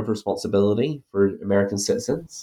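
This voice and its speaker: A man's dark, mellow, fairly low voice with an Irish accent, moving at a fairly quick pace. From Ireland. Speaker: academic author. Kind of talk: interview about his book.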